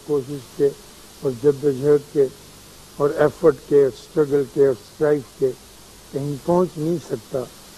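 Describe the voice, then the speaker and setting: Against noticeable background noise, a man speaks in a calm tone at a fairly high pitch with fairly even intonation. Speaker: writer, philosopher and spiritual teacher. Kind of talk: television talk / conversational lecture. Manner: calm, reflective.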